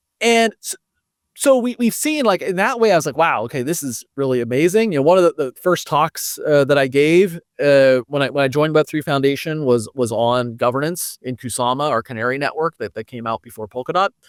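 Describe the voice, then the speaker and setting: A man with an American accent, lively intonation, a fairly high pitch, and a fairly quick pace, in a very clean recording with a silent background and a dry, close sound with no echo. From United States. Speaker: foundation director in blockchain governance and education. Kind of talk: podcast interview. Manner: halting, many fillers and restarts.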